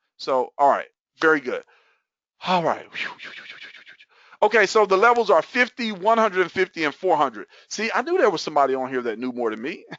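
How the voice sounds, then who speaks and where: Animated and fairly quick, a man with a high pitch swings very widely in pitch and takes long, frequent pauses. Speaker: network marketing promoter. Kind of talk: webinar presentation. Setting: online webinar at computer. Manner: fast.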